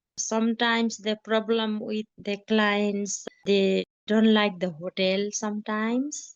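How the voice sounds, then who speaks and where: Here is a woman with a medium pitch. She speaks with a Nepali accent. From Nepal, Mugu district. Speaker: trekking guide. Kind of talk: interview testimony. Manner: halting.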